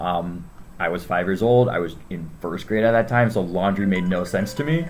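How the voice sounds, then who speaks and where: Over music in the background with audible room echo, a man with a General American accent speaks at a very deep, low pitch and a moderate pace, with ordinary pitch variation. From Northern Virginia, US. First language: Spanish. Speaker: school staff member. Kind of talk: interview. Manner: hesitant, many fillers.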